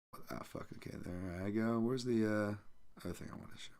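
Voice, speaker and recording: Noticeable background noise fills the clip. Through it, a man talks at a moderate speed. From England. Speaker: MMA analyst podcast host. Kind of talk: casual livestream podcast chat. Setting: live stream.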